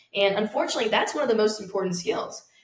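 Audible room echo and noticeable background noise surround a woman talking at a very fast pace with ordinary pitch variation. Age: young. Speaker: real estate investor. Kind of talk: interview.

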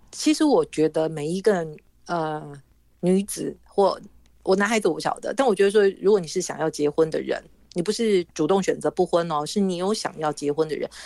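With a dark, mellow tone, a woman speaks at a fairly quick pace, using a medium pitch and ordinary pitch variation. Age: 60s. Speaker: author and former journalist. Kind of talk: interview.

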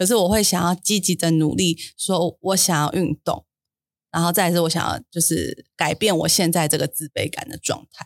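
With vocal fry, a woman speaks at a fairly slow pace. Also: dry, close sound with no echo. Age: 30s. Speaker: podcast co-host. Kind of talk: casual chat.

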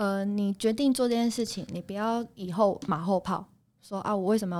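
A normal speaking voice from a woman, medium in pitch, with fairly even intonation. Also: very clean recording, silent background. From Taiwan, Taipei. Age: 30s. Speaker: night market food stall owner. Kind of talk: casual interview.

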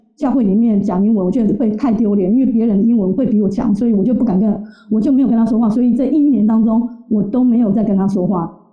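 A woman with a fairly high voice talks very fast, with hardly any pauses, very even loudness and fairly even intonation, and room echo can be heard. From Taiwan. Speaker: interview guest. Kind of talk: interview storytelling.

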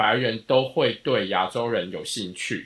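In a very clean recording with a silent background, a man speaks with a Taiwanese accent in a bright, sharp tone. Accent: Taiwanese Mandarin. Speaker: podcast co-host. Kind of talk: casual chat.

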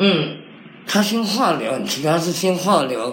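Audible room echo mixed with noticeable background noise. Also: man. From Taiwan, military dependents' village. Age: 50s. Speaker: cancer survivor. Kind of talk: interview.

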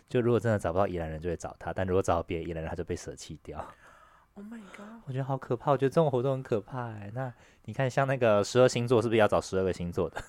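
At a very fast pace, a man talks at medium pitch with lively intonation and big swings in loudness. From Taiwan, Taipei. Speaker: podcast co-host. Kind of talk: casual chat.

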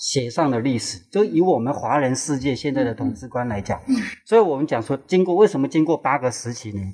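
This man talks at a fairly quick pace with hardly any pauses. His medium-pitched voice has a dark, mellow tone and lively intonation. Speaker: tour guide. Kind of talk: casual chat.

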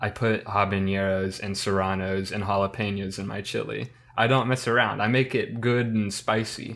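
A man with a Midwestern American accent at a fairly low pitch and moderate pace, with monotone, flat intonation, hardly any pauses, and a very clean recording with a silent background. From US Midwest. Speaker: history student. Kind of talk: casual chat.

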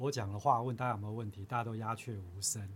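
A man speaks in a somewhat breathy voice. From Taiwan, Chiayi. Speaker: university professor. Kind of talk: interview. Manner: halting.

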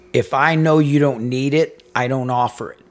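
A man speaks over noticeable background noise. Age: 50s. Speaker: podcast co-host, businessman. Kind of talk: casual chat.

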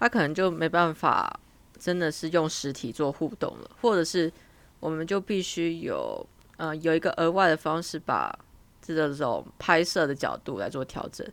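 A woman's unremarkable speaking voice, fairly low in pitch, at a moderate pace with ordinary pitch variation, in a very clean recording with a silent background. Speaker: international student, podcast co-host. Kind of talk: casual chat.

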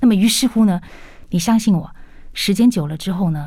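Her voice is somewhat breathy with a dark, mellow tone, a medium pitch and ordinary pitch variation, recorded very cleanly against a silent background. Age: 40s. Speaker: English educator and business lecturer. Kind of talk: radio interview.

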